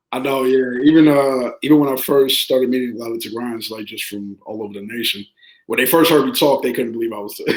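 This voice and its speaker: Talking at a very fast pace, a man with a medium pitch keeps his intonation fairly even while his loudness swings widely. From New York. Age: 30s. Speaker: podcast guest. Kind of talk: casual chat.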